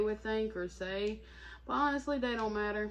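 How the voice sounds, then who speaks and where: A woman with a fairly high pitch, over noticeable background noise. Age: 30s. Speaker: vlogger. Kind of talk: casual Q&A chat to camera. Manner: casual, filler-heavy.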